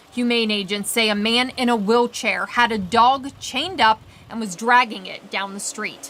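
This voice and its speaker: Over noticeable background noise, a speaker with an American accent keeps a fairly even intonation at a moderate pace. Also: woman. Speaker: TV news anchor and reporter. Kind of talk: TV news anchor and reporter delivery.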